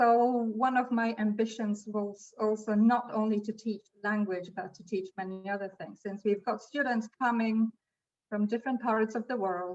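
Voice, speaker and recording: With a non-native accent, a woman at a fairly high pitch speaks in a monotone, flat intonation with big swings in loudness. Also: moderate pace. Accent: non-native English speaker. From Poland. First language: Polish. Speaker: language school teacher. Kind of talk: webinar presentation.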